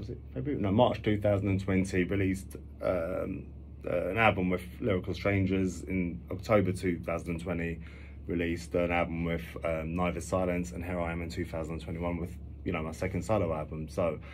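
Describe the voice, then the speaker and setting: Very deep and low, a man's somewhat breathy voice moves at a fairly quick pace with fairly even intonation amid audible room echo. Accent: North London. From London, Finsbury Park. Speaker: musician. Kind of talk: radio interview. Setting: radio studio. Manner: halting.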